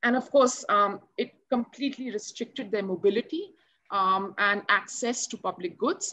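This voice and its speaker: Against a quiet background, a woman with an Indian accent speaks at a fairly slow pace in a bright, sharp tone and a fairly high pitch, with ordinary pitch variation and long, frequent pauses. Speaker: NGO program officer; panelist. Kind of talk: panel discussion. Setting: video call. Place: home room. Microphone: video call.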